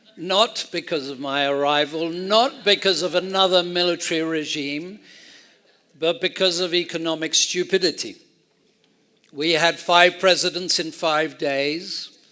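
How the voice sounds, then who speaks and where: With an English accent, a man speaks at a fairly slow pace in a high, bright, sharp voice and fairly even intonation. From Argentina, raised then English boarding school from age ten. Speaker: ranch owner and speaker. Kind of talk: storytelling talk. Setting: stage with audience.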